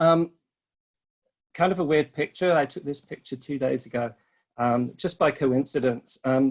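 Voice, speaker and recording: Speaking at a moderate pace with a British accent, a man uses ordinary pitch variation and takes long, frequent pauses. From Britain. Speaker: resort sales and marketing rep. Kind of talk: webinar presentation. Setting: online webinar. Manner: hesitant, many filler ums.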